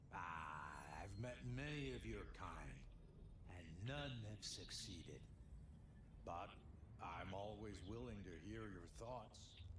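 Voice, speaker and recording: Over loud background noise, a man uses a put-on character voice, very deep and low, at a very slow pace. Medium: machinima. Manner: laid-back, mystical.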